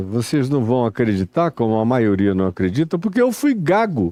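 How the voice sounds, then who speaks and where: A man speaks at a moderate pace with a dark, mellow tone and very wide pitch swings. The background is quiet. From Amazonas, Brazil. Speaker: preacher. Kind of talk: sermon.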